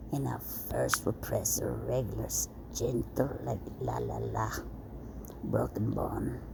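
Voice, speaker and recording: A soft-spoken woman with a very deep, low pitch talks at a very slow pace, her pitch swinging very widely. Noticeable background noise and audible room echo fill the recording. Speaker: content creator. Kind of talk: casual chat.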